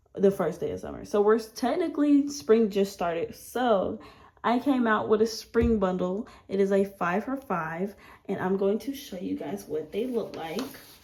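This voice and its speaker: Woman's medium-pitched voice with vocal fry, lively intonation and a moderate pace. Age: 20s. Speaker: budgeting YouTuber. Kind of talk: casual vlog tutorial.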